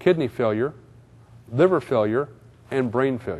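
A man speaks at a fairly slow pace. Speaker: guest lecturer. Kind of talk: lecture. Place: hall. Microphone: podium.

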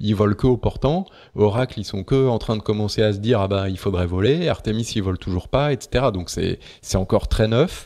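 The voice has a dark, mellow tone, ordinary pitch variation and a moderate pace on a very clean recording with a silent background. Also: man, fairly low pitch for a man. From Paris, France. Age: 40s. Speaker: sailor and naval architect. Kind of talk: interview. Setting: at his home by the sea. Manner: calm, not loud.

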